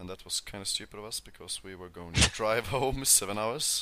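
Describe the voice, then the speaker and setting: With a Swedish accent, a man talks at a moderate pace in a bright, sharp tone and ordinary pitch variation. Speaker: podcast co-host. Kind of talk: casual chat.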